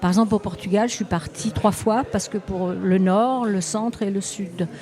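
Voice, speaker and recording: Moderate-paced speech from a woman, medium in pitch, ordinary in pitch variation, amid noticeable background noise. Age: 70s. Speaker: travel sketchbook artist. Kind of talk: interview. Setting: festival stand studio. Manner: halting.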